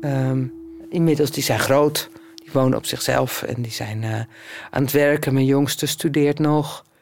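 Against noticeable background noise, a woman with a very deep, low pitch talks fairly slowly with fairly even intonation. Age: 50s. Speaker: blind musician and choir conductor. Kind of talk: casual interview talk.

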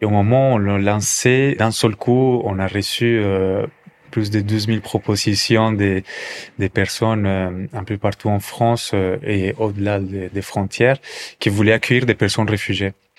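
Noticeable background noise surrounds a man with a Colombian accent. His pitch is fairly low and his pace fairly slow. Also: fairly even intonation. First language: Spanish (speaking French). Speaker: café entrepreneur. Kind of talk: testimony. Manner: halting, with repetitions and fillers.

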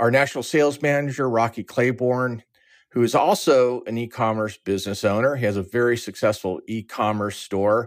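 An unremarkable speaking voice with an American accent, at a moderate pace, with ordinary pitch variation, in a very clean recording with a silent background. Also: man, medium pitch for a man. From Southern California, Orange County. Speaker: lending company founder and CEO. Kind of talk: interview.

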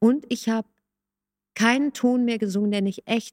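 A woman speaks at a moderate pace with ordinary pitch variation, in a normal speaking voice. The sound is dry and close, with no echo. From Hamburg, northern Germany. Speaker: music coach and songwriter. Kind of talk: casual chat.

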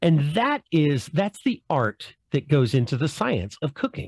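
Somewhat breathy and at a moderate pace, the voice makes very wide pitch swings, recorded with a dry, close sound and no echo. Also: man. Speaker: podcast host and former chef. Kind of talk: casual chat.

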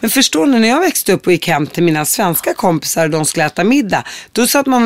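Moving at a fairly quick pace, a woman with a medium pitch sweeps through very wide pitch swings. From Syria, Palestinian roots. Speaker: podcast host. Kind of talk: interview.

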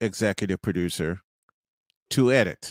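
The tone is animated. The sound is dry and close, with no echo. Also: man. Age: 50s. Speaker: sports radio host. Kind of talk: casual chat.

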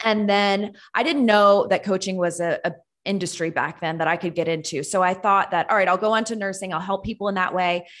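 Speaking with a normal speaking voice, a woman talks at a fairly quick pace and medium pitch with fairly even intonation and hardly any pauses over a quiet background. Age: 30s. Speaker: nurse and health coach. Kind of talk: interview.

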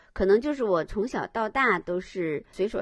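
A woman's voice with very wide pitch swings, at a moderate pace. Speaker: art historian and lecturer. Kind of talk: casual chat. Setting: remote call.

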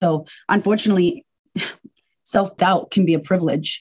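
A woman speaks at a fairly low pitch. Her pace is fairly quick. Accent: Boston. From US, Boston. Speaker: confidence coach. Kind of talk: casual interview chat. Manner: animated.

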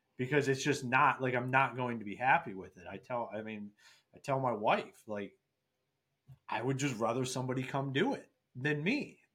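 This man speaks with an American accent and lively intonation. His tone is bright and sharp. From Ohio, US Midwest. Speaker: construction software founder and Marine veteran. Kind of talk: interview. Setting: video call.

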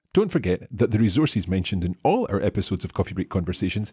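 A man talks very fast, his fairly low voice dark, mellow and somewhat breathy. The recording is very clean with a silent background and a dry, close sound with no echo. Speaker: podcast host. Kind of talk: interview. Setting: studio.

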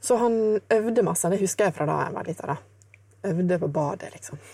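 Moving at a fairly quick pace, a woman shows ordinary pitch variation and takes long, frequent pauses. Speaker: jazz guitarist. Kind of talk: casual interview.

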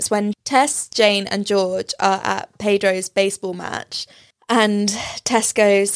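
A woman with a British accent, medium pitch, and a dry, close sound with no echo. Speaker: podcast host. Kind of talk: casual chat.

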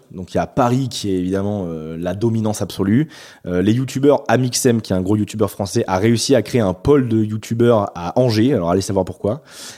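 On a very clean recording with a silent background, a man talks fairly quickly in a fairly low, dark, mellow voice with ordinary pitch variation. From France, Bordeaux. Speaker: YouTuber. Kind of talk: interview. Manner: hesitant, many fillers.

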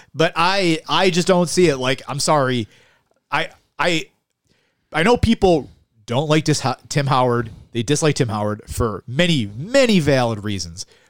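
A fairly high-pitched man with a Western New York accent, at a moderate pace, with very wide pitch swings and long, frequent pauses. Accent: Western New York (Inland North) American. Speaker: podcast co-host. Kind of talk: casual chat. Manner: animated.

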